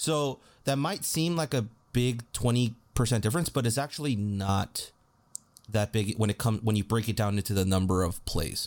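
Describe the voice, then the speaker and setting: At a moderate pace and very even loudness, a man uses a normal speaking voice at medium pitch with lively intonation, recorded very cleanly against a silent background. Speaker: podcast co-host. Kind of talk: casual sports podcast analysis, heated and opinionated.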